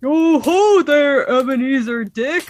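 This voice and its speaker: A put-on character voice with a high pitch. It moves at a fairly slow pace. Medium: read story. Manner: jovial, hearty.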